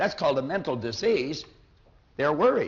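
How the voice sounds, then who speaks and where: A man with a normal speaking voice talks at a fairly high pitch, his intonation lively. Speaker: motivational speaker. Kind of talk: motivational seminar talk.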